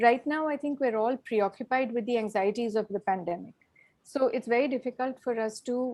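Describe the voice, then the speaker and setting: This woman's voice sits fairly high in pitch and has a dark, mellow tone. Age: 60s. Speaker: professor. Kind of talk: invited talk with Q&A. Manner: hesitant, many fillers.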